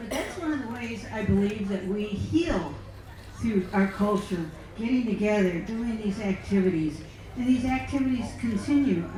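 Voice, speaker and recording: A woman talks at a moderate pace with medium pitch and ordinary pitch variation. The room echo is audible, and background noise is noticeable. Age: 70s. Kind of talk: personal talk with slides. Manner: halting.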